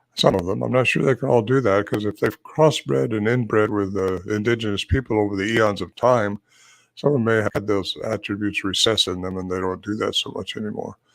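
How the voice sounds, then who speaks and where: On a very clean recording with a silent background, a man with a fairly low pitch speaks at a fairly quick pace with ordinary pitch variation. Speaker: Bigfoot researcher and author. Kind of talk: interview. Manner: fast; animated.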